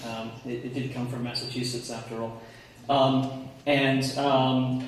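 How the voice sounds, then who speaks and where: A man speaks at a fairly slow pace with fairly even intonation. Strong room echo surrounds him, along with light background noise. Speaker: conference presenter. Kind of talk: lecture. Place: hall. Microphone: camera far.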